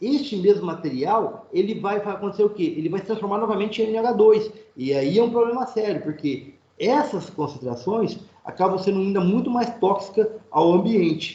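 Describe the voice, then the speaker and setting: There is audible room echo around this man's voice. He speaks at a high pitch with lively intonation. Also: moderate pace. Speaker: university lecturer. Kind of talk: online lecture. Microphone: internet connection freezing at times.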